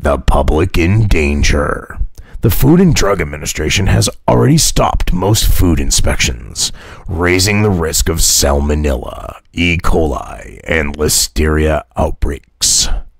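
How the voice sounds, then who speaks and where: A man's raspy, put-on character voice, very deep and low in pitch, at a fairly slow pace. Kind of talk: announcer. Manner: dramatic, fear-mongering.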